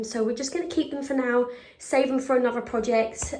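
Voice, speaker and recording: A woman with an English accent, high-pitched and monotone with flat intonation, over noticeable background noise. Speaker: DIY home renovation vlogger. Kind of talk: casual vlog narration.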